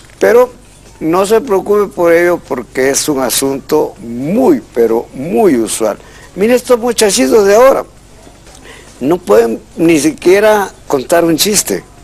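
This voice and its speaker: A man speaks very slowly at a high pitch, swinging it very widely. Noticeable background noise runs underneath. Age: 60s. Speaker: language expert. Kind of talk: call-in radio-TV show.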